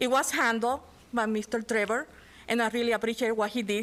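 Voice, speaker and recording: On a very clean recording with a silent background, a woman speaks at a fairly high pitch with a non-native accent. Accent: noticeable foreign. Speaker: parent giving public comment. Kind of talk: public comment.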